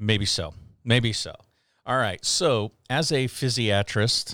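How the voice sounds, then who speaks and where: In a very clean recording with a silent background, a man with a normal speaking voice and an American accent speaks at a fairly slow pace and medium pitch. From Houston, Texas suburbs. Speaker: physician assistant in sports medicine, podcast co-host. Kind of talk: casual chat.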